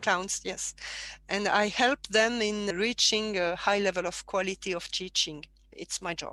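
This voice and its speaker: Speaking fairly slowly, a woman has a French accent and a bright, sharp tone. Her intonation stays fairly even. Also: medium pitch for a woman. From southern France (Provence). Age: 50s. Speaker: martial arts teacher. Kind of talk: interview conversation. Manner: halting.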